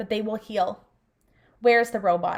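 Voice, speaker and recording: In a put-on character voice, a woman speaks at a moderate pace, raspy and fairly high-pitched, with monotone, flat intonation. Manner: weak.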